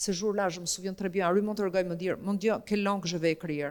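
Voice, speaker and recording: A woman with an Albanian accent and a medium pitch. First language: Albanian (speaking French). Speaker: writer and painter. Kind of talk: literary interview on stage. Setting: stage with audience in a museum gallery. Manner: hesitant, many fillers.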